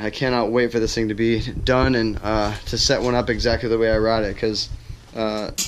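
There is light background noise as a man speaks at a fairly quick pace. His intonation is monotone and flat. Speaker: pro bike rider vlogger. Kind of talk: casual vlog chat. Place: garage. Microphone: phone near.

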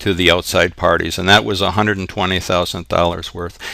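This man's voice sits very deep and low, with a bright, sharp tone. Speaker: accounting instructor. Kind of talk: tutorial. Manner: frequent filler words.

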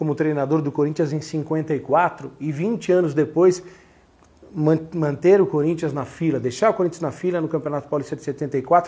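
A man's dark, mellow voice sits at a fairly high pitch, moving at a moderate pace with ordinary pitch variation. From Brazil, São Paulo. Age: 40s. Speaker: sports journalist and author; sports journalist. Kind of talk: interview monologue about his book. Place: home room. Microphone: lapel.

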